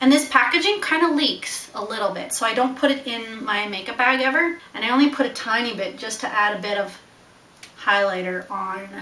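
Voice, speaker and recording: With a slight Newfoundland accent, the speaker talks fairly quickly with lively intonation amid noticeable background noise and audible room echo. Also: woman, fairly high pitch for a woman. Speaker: beauty vlogger. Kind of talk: casual vlog, makeup tutorial. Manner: animated.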